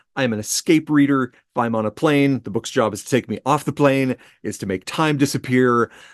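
Over a quiet background, a man speaks in a plain, everyday voice at a moderate pace with ordinary pitch variation. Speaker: company executive and podcast co-host. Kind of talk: casual interview about books.

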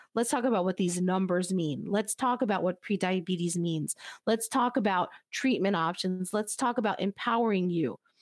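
With an American accent, a woman uses an unremarkable speaking voice at a medium pitch, talking at a moderate pace with hardly any pauses, ordinary pitch variation and very even loudness on a very clean recording with a silent background. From United States, Cuban family. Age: 40s. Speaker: nonprofit CEO. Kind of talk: interview.

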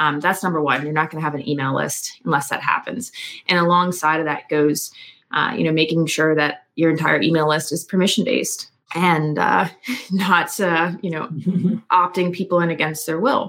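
Moderate pace and ordinary pitch variation in a normal speaking voice, with an American accent. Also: woman, fairly low pitch for a woman. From US, Philadelphia suburbs, Pennsylvania. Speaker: copywriter and marketing strategist. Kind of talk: interview conversation.

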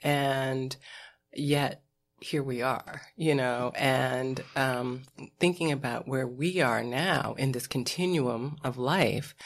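A woman's very deep, low voice with an American accent and ordinary pitch variation, on a very clean recording with a silent background. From US Midwest. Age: 50s. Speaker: film and TV producer. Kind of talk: casual chat.

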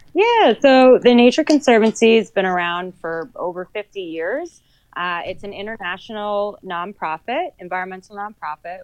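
An American-accented woman has lively intonation and an ordinary speaking voice. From New Jersey, Sussex County. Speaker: conservation coordinator. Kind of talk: podcast interview.

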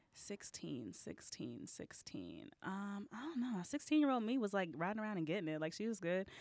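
A woman with an American accent speaks at medium pitch with very wide pitch swings. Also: moderate pace, hardly any pauses. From Texas. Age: young. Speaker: comedian and musician. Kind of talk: casual interview chat.

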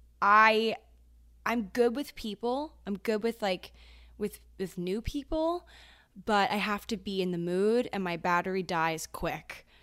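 At a fairly slow pace, a woman speaks at a medium pitch with lively intonation, recorded very cleanly against a silent background. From Maryland, US. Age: 20s. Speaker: content creator and podcaster. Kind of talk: casual chat.

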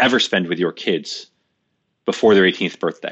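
A man's voice, very deep and low in pitch. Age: 40s. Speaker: tech company executive. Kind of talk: interview. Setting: remote call.

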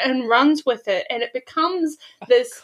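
A woman projects her voice loudly, with a bright, sharp tone. Her pitch rises and falls very widely. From New Zealand. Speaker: life coach guest. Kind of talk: casual chat, storytelling.

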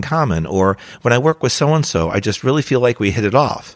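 This man has an unremarkable speaking voice at a medium pitch. He talks at a fairly quick pace with lively intonation. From New Jersey. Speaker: career coach and podcast host. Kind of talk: podcast monologue.

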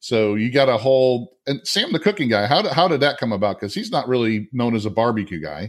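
A man with an unremarkable speaking voice, medium in pitch, lively in intonation, at a fairly quick pace with hardly any pauses. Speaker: podcast host. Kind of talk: interview chat. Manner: friendly, casual.

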